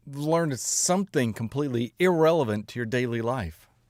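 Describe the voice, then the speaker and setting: A man at medium pitch speaks at a moderate pace in a very clean recording with a silent background. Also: dry, close sound with no echo. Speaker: music reaction streamer. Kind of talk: casual live-stream chat. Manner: speaks higher than natural pitch.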